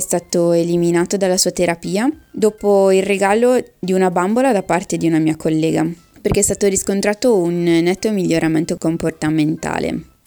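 Music plays in the background as a woman speaks at a moderate pace and medium pitch. Her loudness stays very even, and her pitch varies in an ordinary way. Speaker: pharmacist. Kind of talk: interview. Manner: scripted-sounding reading.

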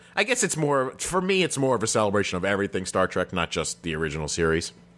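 Very fast male speech in a fairly low pitch, bright and sharp in tone, with very wide pitch swings. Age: 40s. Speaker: podcast co-host. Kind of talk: casual chat.

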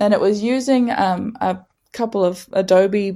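Her tone dark and mellow, a woman with a New Zealand accent speaks at a medium pitch with ordinary variation on a very clean recording with a silent background. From New Zealand, Northland. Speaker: artist and activist. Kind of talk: interview.

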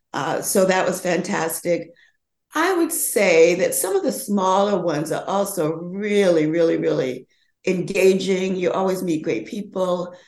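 A woman speaks at a fairly slow pace in an ordinary speaking voice. Her pitch is medium, with ordinary pitch variation. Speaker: fashion model and age activist. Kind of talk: casual interview chat.

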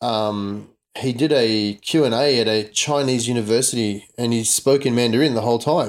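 The man has an Australian accent and a medium pitch. His pace is moderate, his intonation fairly even, and his loudness very even. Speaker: podcast host. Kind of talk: casual chat.

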